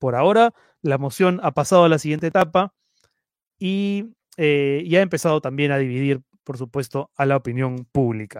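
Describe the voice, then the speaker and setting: The sound is dry and close, with no echo. A man talks in an ordinary speaking voice, fairly high, with lively intonation and a moderate pace. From Peru (Lima). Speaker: web news show host. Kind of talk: live stream news show. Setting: live stream broadcast.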